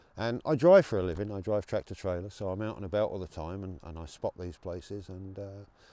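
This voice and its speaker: A man's very deep, low voice with an English accent, a dark, mellow tone and ordinary pitch variation against a quiet background. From England. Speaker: rally organizer and truck driver. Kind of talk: interview. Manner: hesitant with fillers and repeats.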